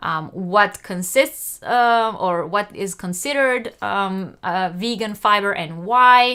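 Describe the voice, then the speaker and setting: Speaking at a very slow pace, a woman with a non-native accent has a bright, sharp tone. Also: medium pitch for a woman, ordinary pitch variation, very clean recording, silent background. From Israel. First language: not English. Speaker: crochet youtuber. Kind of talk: live stream chat. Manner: hesitant, many fillers.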